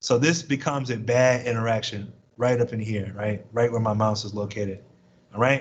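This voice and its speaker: A somewhat breathy man speaks at medium pitch with fairly even intonation. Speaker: chemistry professor. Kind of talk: lecture. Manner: fast.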